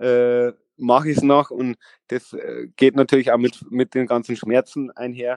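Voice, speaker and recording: With a medium pitch, a man speaks at a moderate pace. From Lower Bavaria, Vilshofen. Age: 30s. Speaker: former streetboard world champion. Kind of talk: interview. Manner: halting, many fillers.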